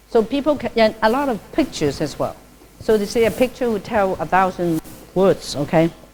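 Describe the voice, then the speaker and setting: A woman in a Cantonese accent, fairly high in pitch with very wide pitch swings, at a fairly quick pace. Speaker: Buddhist nun giving a dharma talk. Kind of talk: lecture. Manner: conversational, frequent fillers.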